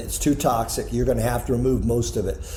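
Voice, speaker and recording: You can hear a man talking. There is noticeable background noise around him. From New York, USA. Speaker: painter and paint-product entrepreneur. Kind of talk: interview answer.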